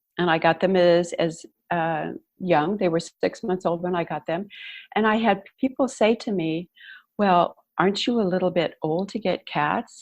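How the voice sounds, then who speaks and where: Against a quiet background, a woman in an ordinary speaking voice talks at a moderate pace, her medium pitch showing ordinary variation. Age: 60s. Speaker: empowerment coach and tango teacher. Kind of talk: podcast interview.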